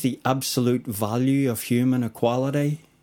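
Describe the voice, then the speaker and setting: A man speaks at a moderate pace in a Northern Irish accent. The recording is very clean, with a silent background. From Northern Ireland. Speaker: spoken word poet. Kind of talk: casual interview chat with poetry reading. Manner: confident.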